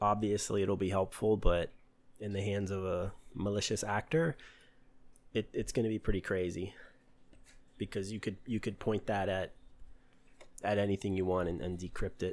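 Over a very clean recording with a silent background, a man speaks at a fairly low pitch and moderate pace, with fairly even intonation and long, frequent pauses. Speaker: podcast host, hacker. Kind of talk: solo podcast monologue on cybersecurity. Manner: monotone; hesitant, with fillers.

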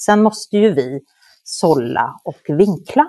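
A dry, close sound carries no echo at all. The voice has a dark, mellow tone. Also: woman. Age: 50s. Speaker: journalist and moderator. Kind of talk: interview.

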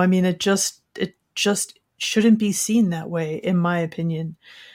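Recorded very cleanly against a silent background, a woman speaks at a moderate pace in a plain, everyday voice, medium in pitch and fairly even in intonation. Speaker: podcast co-host. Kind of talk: casual interview conversation.

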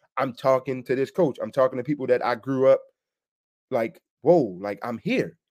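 A man with a Baltimore accent, animated in tone, ordinary in pitch variation, at a moderate pace. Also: medium pitch for a man. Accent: Baltimore American, noticeable. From Baltimore, US. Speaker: sports media personality. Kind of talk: casual interview chat. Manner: animated, halting, repeats words.

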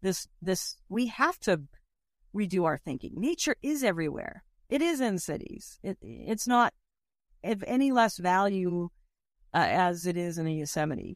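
The pitch swings very widely at a moderate pace. The recording is very clean and dry, close-up with a silent background and no echo. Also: woman, medium pitch for a woman. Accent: American. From Boston. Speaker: conservationist. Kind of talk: interview.

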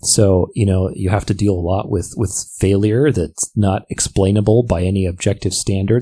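Speaking at a moderate pace, a man uses a fairly low, dark, mellow voice that is somewhat breathy. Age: 30s. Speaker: podcast host and professional dancer. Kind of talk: solo podcast monologue. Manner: animated.

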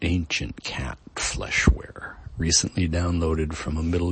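The tone is theatrical and the pace very slow. Noticeable background noise sits behind the speech. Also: man. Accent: American. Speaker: podcast host and poet. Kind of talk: poetry reading in a deliberate, dramatic spoken-word cadence, stacking vivid images; casual introduction before the reading. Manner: casual, hesitant, fillers and restarts in the spoken intro.

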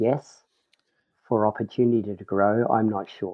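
Very slow pace with fairly even intonation, in a New Zealand accent. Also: man. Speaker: professional snowboarder. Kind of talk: casual interview chat. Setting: remote recording with poor mic.

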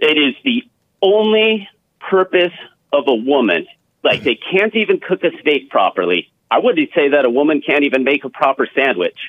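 At a moderate pace, a man with a fairly high pitch speaks with very wide pitch swings and very even loudness. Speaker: caller. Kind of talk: phone-in call. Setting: phone call. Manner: animated. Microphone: rattly, like a speakerphone.

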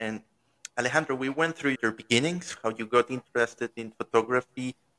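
In a Spanish accent, a man with medium pitch and a bright, sharp tone is heard in a dry, close sound with no echo. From Venezuela. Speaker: podcast host. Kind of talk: interview. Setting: live-streamed remote interview.

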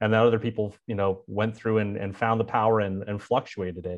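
This man has a normal speaking voice, fairly low in pitch, with an American accent and a fairly quick pace. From US West Coast, San Francisco Bay Area. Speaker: political communications strategist and data activist. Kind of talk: casual interview conversation.

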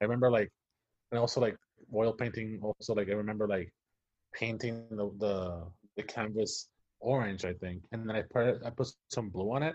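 Pausing long and often, a man with a Spanish accent speaks at a moderate pace in a fairly low pitch with fairly even intonation. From Puerto Rico. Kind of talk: casual interview chat. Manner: hesitant, many fillers and repetitions.

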